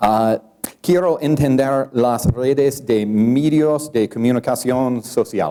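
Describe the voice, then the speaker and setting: A man with an English accent speaks at a very slow pace. His medium pitch shows ordinary variation, and his loudness stays very even. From California. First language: English (speaking Spanish). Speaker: sociologist. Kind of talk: lecture. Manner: halting, simple learner Spanish.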